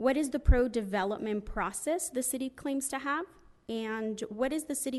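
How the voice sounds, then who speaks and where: Over a quiet background, a woman talks in an unremarkable speaking voice. Her pace is fairly quick, with ordinary pitch variation. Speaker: public commenter, property owner. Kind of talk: public comment at council meeting.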